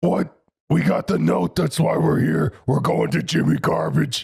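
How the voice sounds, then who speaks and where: In a put-on character voice, a man speaks with a raspy, medium-pitched sound. His loudness stays very even and his pace is moderate. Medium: actual play. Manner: blunt, simple, third-person speech.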